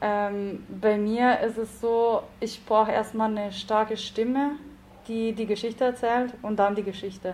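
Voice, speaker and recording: In an Italian accent, a woman speaks at a fairly slow pace. Her fairly high pitch stays monotone and flat. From South Tyrol, Italy (Bolzano), Italian-speaking. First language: Italian (speaking German). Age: 20s. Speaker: novelist and academic researcher. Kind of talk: casual interview.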